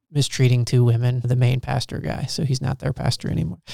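A man's dark, mellow voice sits at a medium pitch and sounds somewhat breathy. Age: middle-aged. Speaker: podcast producer and co-host. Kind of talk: casual chat. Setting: studio.

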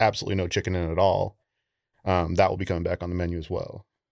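A man's very deep, low voice, dry and close with no echo, over a quiet background. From Penobscot Nation, Maine (Old Town area). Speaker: chef. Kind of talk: casual interview chat.

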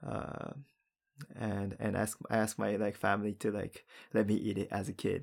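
Fairly low male speech, very cleanly recorded against a silent background. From Japan. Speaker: podcast co-host. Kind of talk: casual chat. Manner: halting, many fillers and repetitions.

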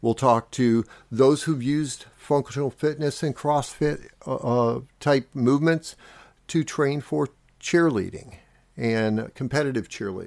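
A man speaks at medium pitch and a fairly slow pace, with ordinary pitch variation, in a normal speaking voice. The recording is very clean, with a silent background and a dry, close sound with no echo. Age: 50s. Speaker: podcast host and fitness enthusiast. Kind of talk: solo podcast monologue. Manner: casual, with frequent filler words.

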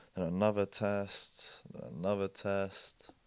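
A man with a British accent speaks with a dark, mellow tone, a fairly low pitch and fairly even intonation. The recording is very clean and silent, with a dry, close sound and no echo. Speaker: interview guest and co-host. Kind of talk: casual chat.

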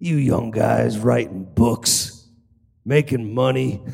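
Putting on a gruff character voice, a man speaks at a medium pitch and a very slow pace.

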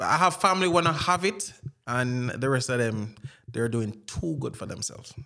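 A man talks at a moderate pace with a medium-pitched voice. His intonation is lively, and there is noticeable background noise. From Jamaica. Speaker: Jamaican immigrant in the US. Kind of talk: casual chat.

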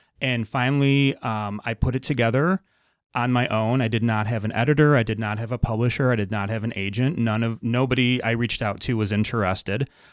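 In a very clean recording with a silent background, a man speaks at a fairly quick pace, a medium pitch and fairly even intonation. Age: 40s. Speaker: novelist. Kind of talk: casual chat. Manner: halting.

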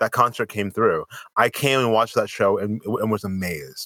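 A bright, sharp tone moves at a fairly quick pace in a dry, close sound with no echo. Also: man. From Springfield, Massachusetts. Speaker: podcast co-host. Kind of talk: casual chat.

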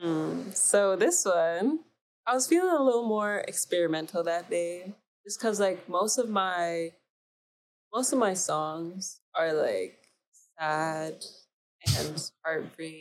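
A woman with a Canadian accent, very slow pace, ordinary pitch variation and long, frequent pauses. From Canada, Mississauga, Ontario. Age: young, about 18. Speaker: singer-songwriter. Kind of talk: casual interview chat.

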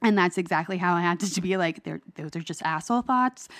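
At a fairly quick pace, a woman with a fairly low pitch and a plain, everyday voice speaks against a quiet background. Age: 30s. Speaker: guest sharing mental health story. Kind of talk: casual interview.

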